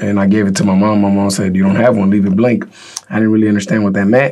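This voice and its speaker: Noticeable background noise beneath a man's fairly even intonation. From Mexico, raised in Northern California. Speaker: boxing trainer. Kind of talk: podcast interview. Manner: casual, halting with fillers.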